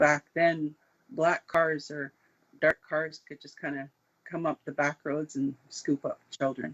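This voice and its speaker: A man with a Canadian accent speaks very slowly in a fairly high pitch. His intonation is monotone and flat, while his loudness swings widely. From Saskatchewan, Canada. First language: Cree. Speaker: sixties scoop survivor. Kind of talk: testimony.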